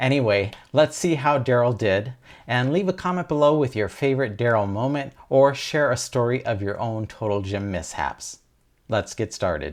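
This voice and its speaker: Against a quiet background, a man speaks with lively intonation. His pitch is medium and his pace moderate. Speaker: fitness instructor. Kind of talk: tutorial. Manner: whispering.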